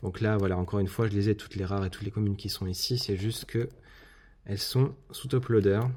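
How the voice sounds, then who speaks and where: With a dark, mellow tone and a somewhat breathy quality, a man talks very fast at a fairly low pitch, his intonation fairly even, on a very clean recording with a silent background. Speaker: YouTube card collector. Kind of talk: casual video commentary, unboxing. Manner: hesitant, many filler words.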